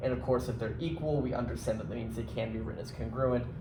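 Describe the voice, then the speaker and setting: A man speaks at a medium pitch with lively intonation and some vocal fry. Audible room echo surrounds his voice. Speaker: high school math teacher. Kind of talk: lecture. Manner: casual, filler-heavy.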